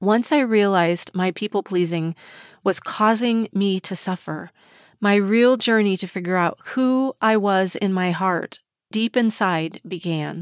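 A woman has an ordinary speaking voice, medium pitch and ordinary pitch variation. The recording is very clean and dry, close with no echo, over a silent background. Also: fairly slow pace. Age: 60s. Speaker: mindset coach and podcast host. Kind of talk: solo podcast monologue.

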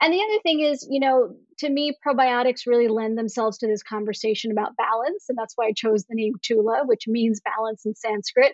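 With a normal speaking voice, a woman talks fairly quickly at a fairly high pitch, using ordinary pitch variation. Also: hardly any pauses. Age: 50s. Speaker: physician and skincare entrepreneur. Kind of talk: interview.

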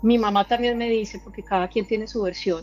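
Her voice sits at a fairly high pitch for a woman, with fairly even intonation. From Colombia. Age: 30s. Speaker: caller sharing paranormal experience. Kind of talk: testimony. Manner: halting.

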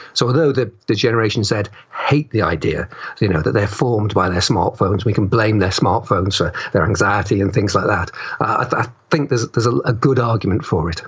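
Over noticeable background noise, a man talks very fast in a fairly low voice, with ordinary pitch variation and very even loudness. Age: 50s. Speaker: writer. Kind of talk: interview. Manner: halting, many fillers.

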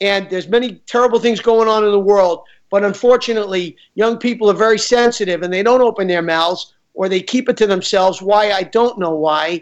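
A man with a New York accent, high pitch, fairly quick pace, and fairly even intonation, set against a quiet background. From New York, Queens. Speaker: film director. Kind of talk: interview. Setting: studio.

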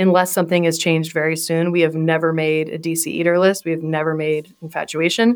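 A woman with an American accent, fairly low in pitch, talking at a very fast pace with monotone, flat intonation and hardly any pauses. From Washington, D.C. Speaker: beer buyer for a pizza restaurant chain. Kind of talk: casual interview.

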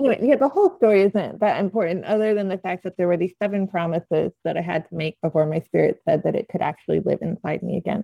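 A woman with an American accent rushes along at a very fast pace with hardly any pauses, her medium-pitched voice dark and mellow with vocal fry. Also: ordinary pitch variation, dry, close sound with no echo. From Oklahoma (Norman). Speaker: painter and art teacher. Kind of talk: casual chat.

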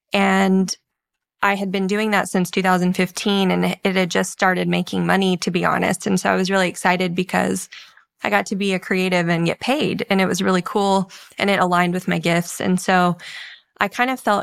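A woman of medium pitch speaks at a moderate pace with monotone, flat intonation on a very clean recording with a silent background. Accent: Texan. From rural Texas. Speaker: author and counseling practice co-owner. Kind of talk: interview.

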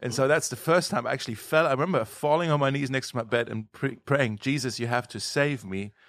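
A man with a German accent talks very fast with hardly any pauses, at a medium pitch with ordinary pitch variation, in a very clean recording with a silent background. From Germany. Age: 30s. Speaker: pastor. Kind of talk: casual interview.

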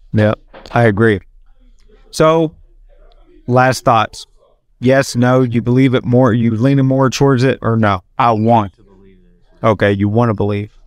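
With long, frequent pauses, a man talks at a fairly slow pace and fairly even intonation, his sound dry and close with no echo. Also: medium pitch for a man, big swings in loudness. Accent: strong Southern US. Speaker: podcast host. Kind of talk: casual chat. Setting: bar.

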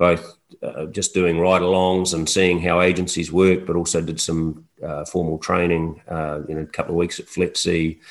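A man with a New Zealand accent speaks in a very deep, low pitch with monotone, flat intonation. He leaves hardly any pauses against a quiet background. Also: moderate pace. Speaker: fisheries enforcement officer and instructor. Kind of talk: interview. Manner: halting, many fillers.

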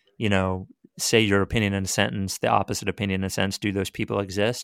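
In a normal speaking voice, a man talks at a fairly quick pace and fairly low pitch. The sound is dry and close with no echo, on a very clean recording with a silent background. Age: 40s. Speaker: sports radio programming executive and podcast host. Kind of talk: casual chat.

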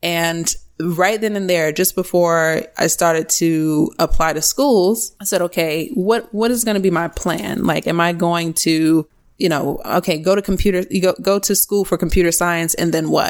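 A woman with an American accent has a plain, everyday voice at a fairly low pitch, speaking at a moderate pace with ordinary pitch variation and very even loudness. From US East Coast, small-town New Jersey. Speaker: iOS developer and tech educator. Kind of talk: casual interview.

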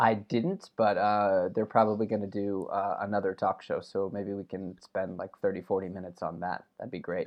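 A man with an unremarkable speaking voice talks at a fairly low pitch with fairly even intonation and hardly any pauses. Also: moderate pace. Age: 30s. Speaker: podcast co-host. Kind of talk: casual chat. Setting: remote call.

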